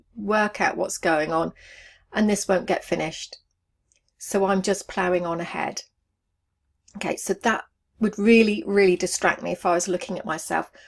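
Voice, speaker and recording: A woman with an English accent speaks at a moderate pace and a medium pitch, her intonation fairly even, with long, frequent pauses in a very clean recording against a silent background. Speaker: online business coach. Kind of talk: video tutorial to camera.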